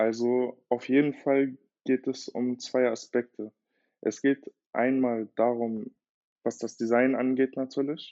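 A man talks at a very slow pace and medium pitch. His intonation is monotone and flat. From Germany, Berlin. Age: 20s. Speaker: watchmaker. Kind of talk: interview conversation.

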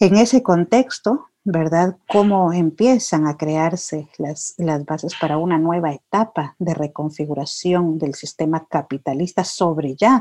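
A woman speaks in a dark, mellow tone with ordinary pitch variation and hardly any pauses against a quiet background. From Guatemala. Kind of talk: interview. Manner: reflective, hesitant with fillers.

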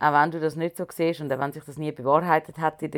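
Talking at a fairly quick pace, a woman uses a very deep, low pitch and fairly even intonation. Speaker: podcast co-host and performer. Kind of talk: casual chat.

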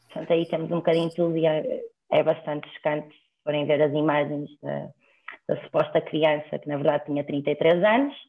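A woman's voice sits very deep and low. She talks at a moderate pace in a monotone, flat intonation. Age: 20s. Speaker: law student. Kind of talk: casual chat.

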